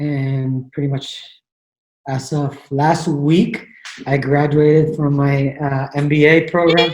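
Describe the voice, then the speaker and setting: A man speaks at a very slow pace in a fairly high pitch. His voice is somewhat breathy, and his intonation is flat and monotone. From Mexico, Tijuana. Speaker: tennis coach. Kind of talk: casual chat.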